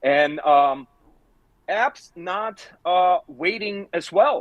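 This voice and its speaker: A man's high voice with ordinary pitch variation, in an Eastern European accent, dry and close with no echo. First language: non-native English speaker. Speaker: scam baiter. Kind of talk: live Q&A discussion. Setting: livestream.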